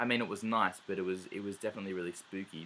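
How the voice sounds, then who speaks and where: Using fairly even intonation, a man with an Australian accent speaks at a fairly low pitch. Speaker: travel vlogger. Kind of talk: casual vlog monologue. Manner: hesitant, many fillers.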